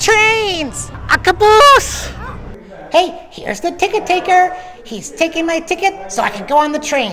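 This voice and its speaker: An upbeat, cartoonish character voice. Clear background noise is audible behind it. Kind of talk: travel vlog. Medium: puppet. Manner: upbeat, excitable.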